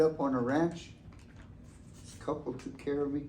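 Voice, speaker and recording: The room echo can be heard. A man talks at a moderate pace within it. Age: 70s. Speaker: elder storyteller. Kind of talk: storytelling talk to students.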